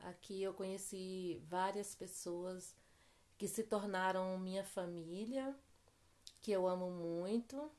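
A woman talks at a very slow pace and a medium pitch, with ordinary pitch variation and long, frequent pauses. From Bahia, Brazil, then São Paulo from age 16. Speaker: interviewee, classmate's mother. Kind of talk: interview.

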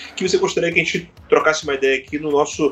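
A man talks with lively intonation. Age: 40s. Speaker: podcast host. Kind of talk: casual chat.

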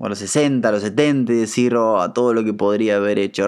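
A man is speaking. His pace is fairly slow. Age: 30s. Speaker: podcast host. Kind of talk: casual monologue.

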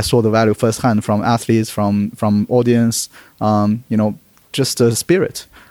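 At a fairly quick pace, a man talks with a Chinese accent. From Beijing, China. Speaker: startup co-founder.

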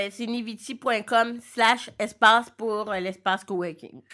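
A very slow, bright, sharp voice in a Quebec accent, fairly even in intonation, on a very clean recording with a silent background. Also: woman. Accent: Québécois French. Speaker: entrepreneur and blogger. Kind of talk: interview. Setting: recording studio in a coworking space.

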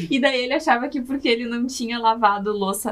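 A woman's high-pitched voice. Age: 20s. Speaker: podcast guest, wife of the host. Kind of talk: casual chat.

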